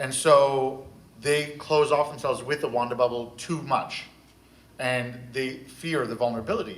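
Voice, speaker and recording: The voice shows ordinary pitch variation, with audible room echo. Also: man. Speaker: therapist. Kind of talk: panel discussion. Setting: convention stage with audience. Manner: loud.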